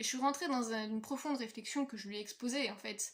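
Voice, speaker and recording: Woman with a somewhat breathy, fairly high voice, ordinary pitch variation and a fairly quick pace. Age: 20s. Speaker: vlogger. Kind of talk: personal vlog monologue. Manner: fast.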